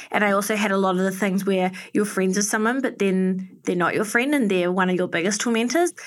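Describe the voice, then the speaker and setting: A woman with a New Zealand accent talks at a fairly quick pace, with hardly any pauses. Her pitch is medium, with ordinary variation. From New Zealand, Auckland. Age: 30s. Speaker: fashion and beauty influencer. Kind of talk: casual interview chat.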